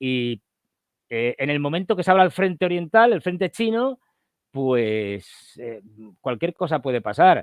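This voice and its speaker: Pitched fairly high, a man speaks at a fairly slow pace with long, frequent pauses. His pitch swings very widely. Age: 60s. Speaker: political analyst. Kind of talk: interview. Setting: livestream call. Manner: hesitant, many fillers.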